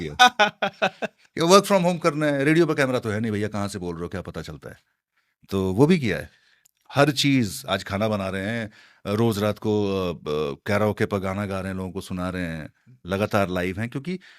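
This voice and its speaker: A man with a fairly low voice speaks at a moderate pace, his pitch swinging very widely and his loudness rising and falling sharply, on a very clean recording with a silent background. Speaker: radio jockey. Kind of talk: interview answer.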